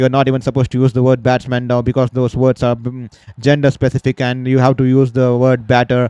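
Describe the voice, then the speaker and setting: A man with a dark, mellow tone and a medium pitch talks at a very fast pace. The sound is dry and close with no echo. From India. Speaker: cricket commentator, sports journalist. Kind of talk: live commentary. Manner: halting, many fillers and repetitions.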